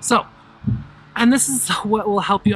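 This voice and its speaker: The speaker is a woman with a medium pitch. She talks at a moderate pace while music plays in the background. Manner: animated, with frequent restarts.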